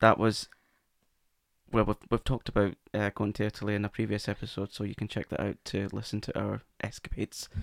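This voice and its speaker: Close and dry with no echo, a man with a fairly low pitch talks at a fairly quick pace in a monotone, flat delivery with vocal fry. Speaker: podcast host and wigmaker. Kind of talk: casual conversation, personal recovery story.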